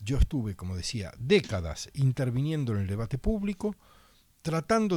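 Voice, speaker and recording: On a very clean recording with a silent background, a man at medium pitch speaks at a moderate pace in a dark, mellow, somewhat breathy tone with very wide pitch swings. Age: 60s. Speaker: political candidate. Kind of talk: radio interview.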